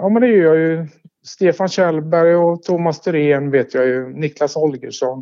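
At a fairly slow pace, a man with a normal speaking voice talks in a fairly high pitch with ordinary pitch variation. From Sweden, Tidaholm (Västergötland). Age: 50s. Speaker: former local resident interviewed about his life. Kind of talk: casual interview. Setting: phone call. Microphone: telephone line.

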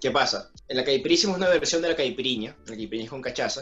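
A man with a Venezuelan accent speaks at a very fast pace with ordinary pitch variation. Music plays in the background. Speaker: podcast co-host. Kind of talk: casual chat over drinks.

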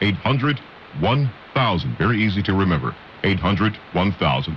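A man talks with lively intonation while noticeable background noise fills the recording. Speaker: radio co-host. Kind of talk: radio talk show. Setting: radio studio.

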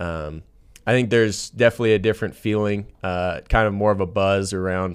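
In a very clean recording with a silent background, a man with a normal speaking voice and fairly low pitch talks at a fairly quick pace with fairly even intonation. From Southern California. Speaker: college football quarterback. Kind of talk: interview.

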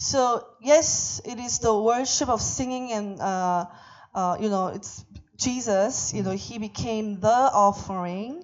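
A woman's fairly high-pitched voice at a very slow pace, with ordinary pitch variation and big swings in loudness. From Korea. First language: Korean (speaking Vietnamese). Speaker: visiting preacher. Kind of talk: sermon via interpreter. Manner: halting.

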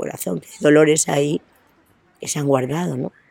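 Speaking at a fairly quick pace, a woman with a very deep, low pitch shows vocal fry. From Spain, Astorga (León). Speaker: interviewee. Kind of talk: interview. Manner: halting.

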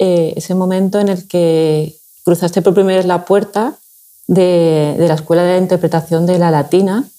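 The tone is dark and mellow. Speech moves at a moderate pace. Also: woman. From Seville, Andalusia. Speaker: podcast host. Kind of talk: interview conversation.

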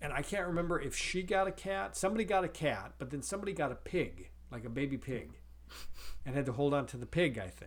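With vocal fry and a fairly high pitch, a man speaks very fast using lively intonation. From US Midwest, North Dakota. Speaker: podcast co-host, father. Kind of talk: casual chat.

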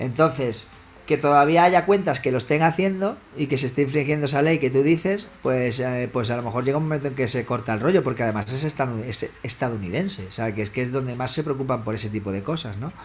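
Over noticeable background noise, a man talks at a very fast pace in a medium pitch with lively intonation. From Spain, Extremadura (Badajoz). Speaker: electronic music producer and DJ. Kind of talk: casual interview.

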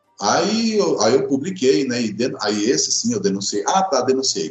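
Music plays in the background. A man talks with hardly any pauses. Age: 50s. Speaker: public spending watchdog. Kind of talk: podcast interview.

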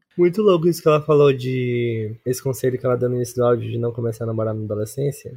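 Somewhat breathy and dark, mellow in tone, a man rushes along at a very fast pace with hardly any pauses. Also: medium pitch for a man, ordinary pitch variation. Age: 20s. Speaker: architecture student, podcast guest. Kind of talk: casual chat.

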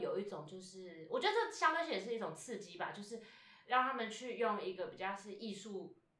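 A woman talks at a fairly quick pace with a fairly high pitch. Audible room echo surrounds her voice. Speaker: stage actor. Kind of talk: interview. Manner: casual, hesitant with fillers.

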